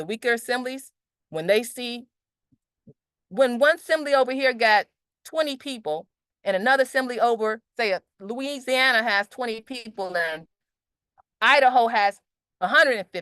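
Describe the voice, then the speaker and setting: A woman's loud, high voice with a bright, sharp tone moves at a moderate pace, interrupted by long, frequent pauses. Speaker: meeting organizer presenting objectives. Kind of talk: online group meeting presentation. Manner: halting, with many restarts.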